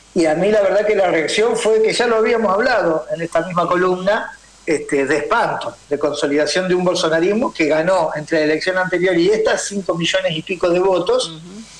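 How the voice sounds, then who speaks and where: Over noticeable background noise, a man speaks at a fairly quick pace in a high pitch with ordinary pitch variation and hardly any pauses. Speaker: political columnist and university lecturer. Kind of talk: radio political commentary.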